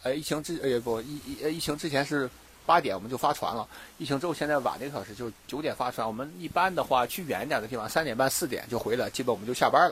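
Very fast talk from a man with a fairly high pitch and ordinary pitch variation. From Dalian, northeast China. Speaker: scuba diver and dive instructor. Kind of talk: casual interview chat. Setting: outdoors on a beach. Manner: hesitant with many fillers.

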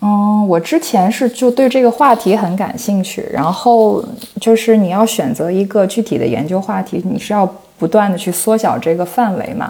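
A woman speaks with a fairly high pitch and ordinary pitch variation at a moderate pace. Noticeable background noise is present. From China, Shandong. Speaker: PhD researcher in cross-cultural communication. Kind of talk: casual interview.

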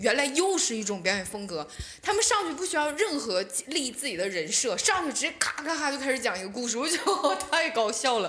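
A woman talks at a fairly quick pace and a high pitch, with very wide pitch swings. Noticeable background noise and audible room echo fill the recording. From Northeast China, Shenyang. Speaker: stand-up comedian. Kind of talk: casual chat.

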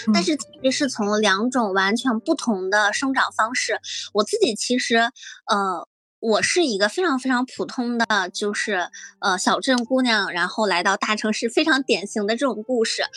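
This woman's fairly high voice has a bright, sharp tone and lively intonation, moving at a moderate pace with a dry, close sound and no echo. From northern China, small town. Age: 20s. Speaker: author. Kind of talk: casual chat. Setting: remote recording from a friend's home. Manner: halting, with frequent fillers.

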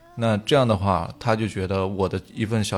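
A man's fairly low-pitched, unremarkable speaking voice with fairly even intonation. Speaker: podcast co-host. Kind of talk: casual chat, music sharing.

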